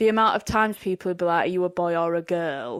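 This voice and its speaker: A woman with a Yorkshire accent speaks at a fairly quick pace with ordinary pitch variation. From Yorkshire, England. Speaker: podcast co-host. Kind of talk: casual chat.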